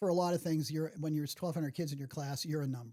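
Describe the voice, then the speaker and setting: A man with a Pittsburgh accent speaks at fairly high pitch. His tone is dark and mellow, with ordinary pitch variation. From Pittsburgh, South Hills. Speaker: retired veterinarian and camp volunteer. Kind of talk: interview conversation. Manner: halting, many fillers and restarts.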